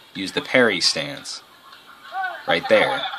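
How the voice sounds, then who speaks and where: A man speaks at a moderate pace, his intonation lively, with noticeable background noise behind him. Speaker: gaming video commentator. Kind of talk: gameplay commentary. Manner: halting, many fillers and restarts.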